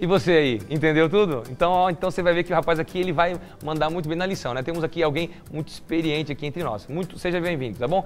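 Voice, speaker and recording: With music in the background, a man of fairly high pitch talks at a very fast pace in an animated tone. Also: ordinary pitch variation. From Curitiba, southern Brazil. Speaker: TV show host. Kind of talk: TV Bible study talk show.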